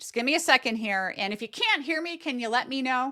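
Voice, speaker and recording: A woman speaks at a fairly quick pace in an animated, bright, sharp tone with lively intonation. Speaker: remote viewing teacher. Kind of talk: online workshop lecture.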